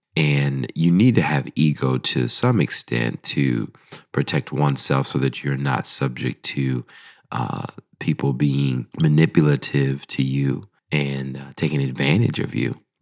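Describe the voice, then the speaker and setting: A man's very deep, low voice at a fairly slow pace, with a dry, close sound and no echo. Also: ordinary pitch variation. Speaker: podcast host. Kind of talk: casual faith podcast monologue. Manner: conversational with frequent fillers.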